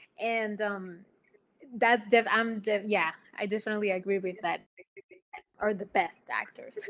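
A woman with a Spanish accent at a medium pitch, fairly even intonation, a moderate pace and long, frequent pauses. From Puerto Rico. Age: young. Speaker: actress. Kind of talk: casual interview chat.

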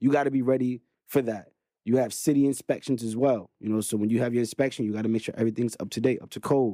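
Talking very fast with a Brooklyn accent, a man uses a dark, mellow tone at medium pitch and fairly even intonation. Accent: New York (Brooklyn). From Brooklyn, New York. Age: 30s. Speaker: real estate investor. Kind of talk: casual interview.

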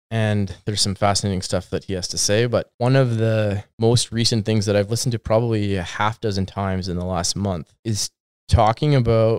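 Speaking at a fairly quick pace in a Western Canadian accent, a man with a fairly low pitch keeps his intonation fairly even. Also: very clean recording, silent background. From British Columbia, Canada. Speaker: real estate agent. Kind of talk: casual chat.

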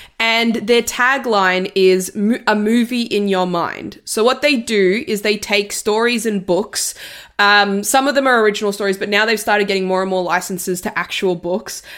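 Here a woman speaks at medium pitch and a moderate pace. Her intonation stays fairly even, with hardly any pauses. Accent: Australian. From Italy. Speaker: film podcast guest. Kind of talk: casual chat.

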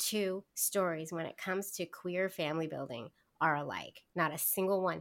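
A woman with a normal speaking voice talks at a moderate pace and medium pitch with ordinary pitch variation, in a very clean recording with a silent background. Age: 40s. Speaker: podcast guest sharing fertility story. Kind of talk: casual interview.

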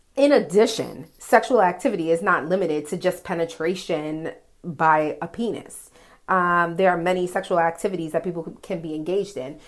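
A woman with an American accent has an unremarkable speaking voice, fairly low in pitch with ordinary pitch variation. The recording is very clean, the background silent. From New York, the Bronx. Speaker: listener sending voice message. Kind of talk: voice message.

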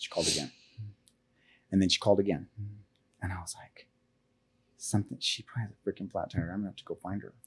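A man speaks very fast at a fairly low pitch with ordinary pitch variation and a somewhat breathy sound. His loudness swings widely, and he leaves long, frequent pauses. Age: 40s. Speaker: podcast guest sharing life story. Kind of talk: personal storytelling interview. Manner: halting.

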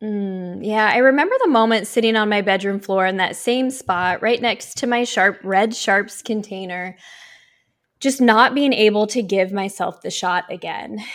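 A woman with an American accent speaks in a plain, everyday voice at a fairly high pitch. Her pace is moderate and her pitch variation ordinary, on a very clean recording with a silent background. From US Pacific Northwest (Oregon). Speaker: life coach and speaker. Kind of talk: interview conversation.

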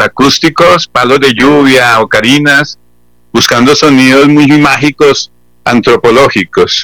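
The man's tone is bright and sharp. He speaks at a very slow pace. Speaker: band founder and musician. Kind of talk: radio interview.

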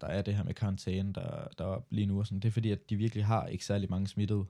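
This is a man with a dark, mellow tone. The recording is very clean, with a silent background. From Denmark. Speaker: podcast co-host, student. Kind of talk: casual chat.

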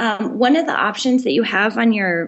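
In an American accent, a woman with an ordinary speaking voice and fairly high pitch talks at a moderate pace with lively intonation. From Colorado, US. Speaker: marketing director. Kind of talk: interview.

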